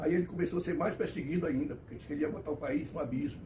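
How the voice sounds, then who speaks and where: Ordinary pitch variation with audible room echo. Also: man. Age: 90s. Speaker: elderly commentator on history. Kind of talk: personal history monologue. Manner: halting, self-correcting.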